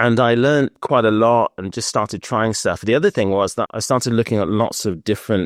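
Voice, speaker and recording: A man with a British accent at a fairly quick pace and ordinary pitch variation, dry and close with no echo on a very clean recording with a silent background. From Britain. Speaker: scale modeller, flight attendant. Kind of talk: interview.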